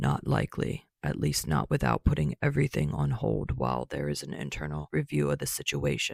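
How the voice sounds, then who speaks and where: Putting on a gruff character voice, a man speaks at a very deep, low pitch and a fairly quick pace with hardly any pauses. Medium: read story. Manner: blunt, gruff.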